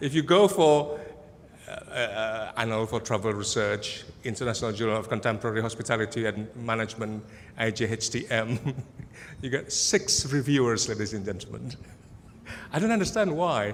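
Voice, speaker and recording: With audible room echo, a man speaks at a medium pitch and a moderate pace. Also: ordinary pitch variation. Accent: Indonesian. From Indonesia. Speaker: academic researcher. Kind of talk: conference presentation. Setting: conference hall with audience. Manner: casual, humorous, with many fillers.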